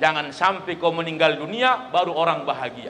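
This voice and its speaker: A man's raised, projected voice, animated in tone, with noticeable background noise and audible room echo. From North Sumatra, Labuhan Batu. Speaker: Islamic preacher. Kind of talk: sermon at halal bihalal event. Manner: animated, humorous.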